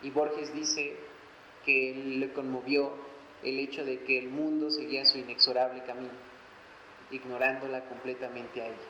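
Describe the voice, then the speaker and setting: At a medium pitch and moderate pace, a man speaks in a monotone, flat intonation with big swings in loudness and long, frequent pauses, amid audible room echo and noticeable background noise. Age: 20s. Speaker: poet and author. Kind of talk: book presentation talk. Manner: halting, many pauses.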